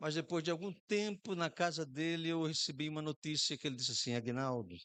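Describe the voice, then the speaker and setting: A northeastern Brazilian accent in a dry, close sound with no echo. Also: man. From Brazil, Rio Grande do Norte (Macau). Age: 60s. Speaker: pastor. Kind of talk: sermon.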